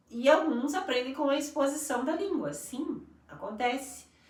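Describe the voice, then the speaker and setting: Speaking fairly slowly, a woman uses lively intonation, and room echo is audible. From Brazil. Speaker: English teacher and school coordinator. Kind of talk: live stream conversation. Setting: live stream.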